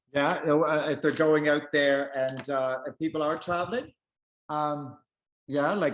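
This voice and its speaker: A man speaks in a plain, everyday voice, his pitch fairly high and his intonation fairly even. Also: quiet background. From Prince Edward Island, eastern Canada. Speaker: vegan travel author. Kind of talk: casual interview chat.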